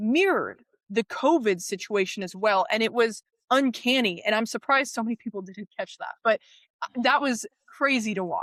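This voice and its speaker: A woman speaks at a moderate pace with a fairly high pitch, lively intonation and an animated tone. The sound is dry and close with no echo, on a very clean recording with a silent background. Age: 20s. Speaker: guest on critical thinking. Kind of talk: casual interview chat. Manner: animated, stumbling restarts.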